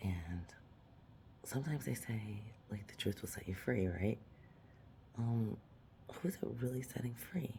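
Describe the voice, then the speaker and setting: Quiet speech at a fairly slow pace carries lively intonation. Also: woman. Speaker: vlogger. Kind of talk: casual monologue. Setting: apartment at night.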